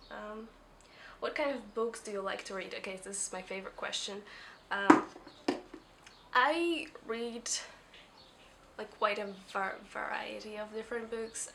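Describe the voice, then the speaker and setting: A woman with a non-native accent and a fairly high pitch speaks at a fairly slow pace, with long, frequent pauses and big swings in loudness, over noticeable background noise. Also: ordinary pitch variation. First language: not English. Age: 20s. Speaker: book vlogger. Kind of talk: casual talk to camera. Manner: mumbling, hesitant.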